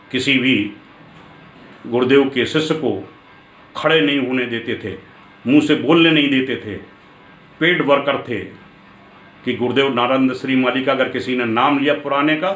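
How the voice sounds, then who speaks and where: A man amid audible room echo, with long, frequent pauses. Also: medium pitch for a man, fairly even intonation. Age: 70s. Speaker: spiritual teacher. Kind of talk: spiritual discourse.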